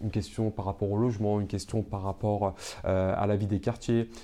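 A man's fairly low voice carries a dark, mellow tone and monotone, flat intonation. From Paris suburbs, Seine-Saint-Denis. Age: 20s. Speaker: entrepreneur, teacher and local councillor. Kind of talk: interview conversation. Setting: showroom.

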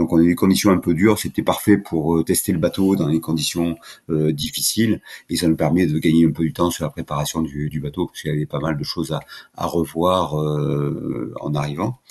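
Speaking in a very deep, low pitch with ordinary pitch variation, a man keeps a fairly quick pace. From southern France (Languedoc). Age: 60s. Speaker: offshore sailing skipper. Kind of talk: interview. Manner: halting, many repeated words.

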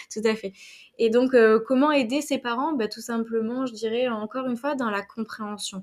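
Her voice is an unremarkable speaking voice, a woman's at a fairly high pitch, with fairly even intonation and a moderate pace in a very clean recording over a silent background. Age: 30s. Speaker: HR specialist and coach. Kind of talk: interview conversation.

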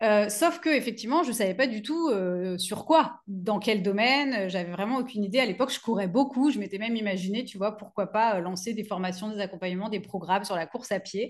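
Speaking at a fairly quick pace with hardly any pauses, a woman uses a fairly high pitch with ordinary variation. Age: 40s. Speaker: business coach for yoga teachers. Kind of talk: interview. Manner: many hesitations.

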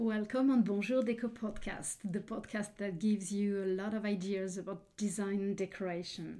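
A woman with a French accent, medium pitch, a dark, mellow tone, fairly even intonation, moderate pace and hardly any pauses. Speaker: interior decorator, podcast host. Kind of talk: interview. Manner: halting.

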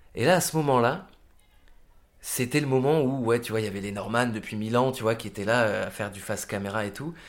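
This man talks at a fairly quick pace and a medium pitch, with ordinary pitch variation and big swings in loudness. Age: 30s. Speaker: actor and musician. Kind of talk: casual interview. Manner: halting, many fillers.

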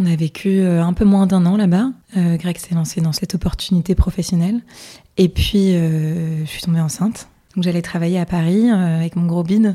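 A woman's fairly low, somewhat breathy voice with a dark, mellow tone, fairly even intonation and a moderate pace. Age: 30s. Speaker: hotel finance worker and illness survivor. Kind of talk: testimony. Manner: hesitant, casual.

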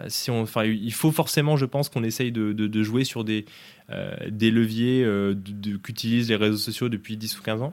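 A man talks at a moderate pace. His pitch is medium and his intonation fairly even. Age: 20s. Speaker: startup co-founder and CEO. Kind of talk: interview. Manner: halting, many repetitions and fillers.

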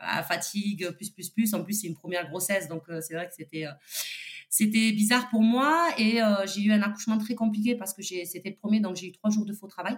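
A woman talks at a moderate pace with ordinary pitch variation and big swings in loudness. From Toulouse, southern France. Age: 30s. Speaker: entrepreneur and single mother. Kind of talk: testimony. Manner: casual, hesitant with many fillers.

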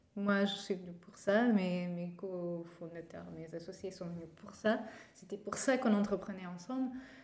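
A woman speaks at a fairly slow pace. The room echo is audible. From Portugal. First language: Portuguese (speaking French). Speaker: startup co-founder. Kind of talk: interview. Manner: halting, with repetitions.

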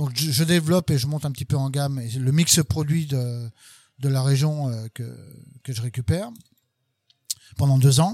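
The somewhat breathy voice has a dark, mellow tone, ordinary pitch variation, and long, frequent pauses. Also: man, fairly high pitch for a man, moderate pace. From western France, Sarthe. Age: 50s. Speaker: barista and coffee trainer. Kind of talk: casual interview. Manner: hesitant, repeats words.

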